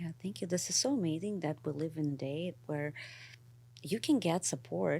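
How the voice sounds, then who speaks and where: A woman's dark, mellow voice with vocal fry, a non-native accent, ordinary pitch variation and a moderate pace, on a very clean recording with a silent background. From immigrant to the US. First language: not English. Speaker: company co-founder. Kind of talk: interview conversation.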